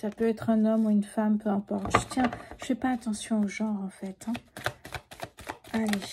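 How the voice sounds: Soft-spoken, a woman talks at a moderate pace with a medium pitch and little pitch movement. Her tone is dark and mellow, with a slightly husky edge.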